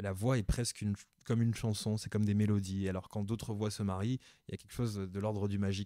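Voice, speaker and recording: Very fast and monotone, a man talks with a fairly low pitch and a dark, mellow tone, the sound dry and close with no echo on a very clean recording with a silent background. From Cameroon and Paris, France. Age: 30s. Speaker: radio host. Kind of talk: interview. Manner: hesitant, repeats words.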